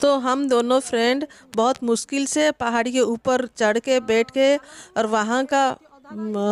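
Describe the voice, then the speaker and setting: Recorded dry and close with no echo, a woman with an Odia accent speaks in a high pitch, with monotone, flat intonation and very even loudness. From Odisha, India. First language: Odia (speaking Hindi). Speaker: travel vlogger. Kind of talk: travel vlog narration. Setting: outdoors. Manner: halting, with frequent fillers.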